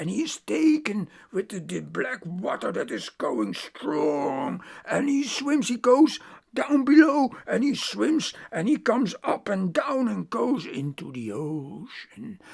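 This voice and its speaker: A raspy, put-on character voice speaks at a fairly high pitch and a fairly slow pace. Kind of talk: oral myth storytelling. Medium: read story. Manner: halting, repetitive, conversational.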